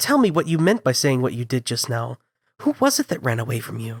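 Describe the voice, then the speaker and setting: A put-on character voice, low-to-middle in pitch, at a fairly quick pace. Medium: read story.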